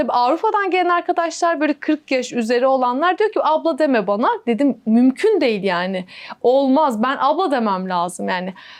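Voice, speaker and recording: Speaking at a moderate pace with hardly any pauses, a woman uses a high pitch with very wide pitch swings while her loudness stays very even. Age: 30s. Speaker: interviewee, daughter-in-law and mother. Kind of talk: interview.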